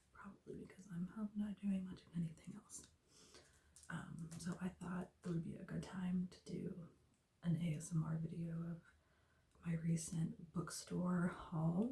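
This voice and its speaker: The speaker is soft-spoken, with a relaxed tone. The pace is fairly slow. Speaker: ASMR video creator. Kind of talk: casual talk to camera, ASMR intro. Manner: soft-spoken, relaxed.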